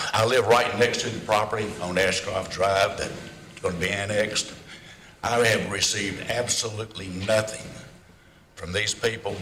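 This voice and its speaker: A man speaks at a moderate pace with a fairly low pitch and fairly even intonation, with noticeable background noise and audible room echo. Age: 80s+. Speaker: local resident giving public comment. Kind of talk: public comment at council hearing. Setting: city council meeting.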